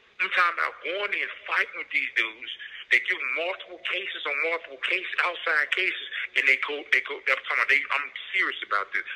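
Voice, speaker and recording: A high-pitched man with an American accent, very fast and with lively intonation, over noticeable background noise. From Florida. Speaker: prisoner. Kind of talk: phone interview.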